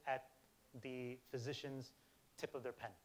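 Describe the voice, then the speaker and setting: A man's fairly high voice moves along at a fairly quick pace. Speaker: healthcare technology presenter. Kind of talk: conference presentation; audience Q&A. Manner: fast.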